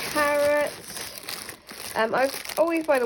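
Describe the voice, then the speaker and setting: A woman talks with an English accent. Noticeable background noise can be heard. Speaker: vlogger. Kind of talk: casual vlog narration. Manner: stuttering at times.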